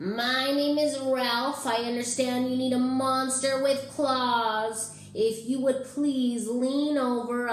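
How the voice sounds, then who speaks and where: With a slight echo, a female-sounding put-on character voice speaks very slowly at a high pitch for a woman. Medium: read story. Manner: refined, polite.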